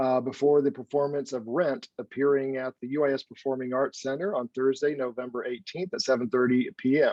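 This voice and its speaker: The man's medium-pitched voice keeps a fairly level intonation as he talks fairly fast. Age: 50s. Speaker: performing arts center director. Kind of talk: moderated panel discussion. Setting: recorded broadcast. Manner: halting, many fillers.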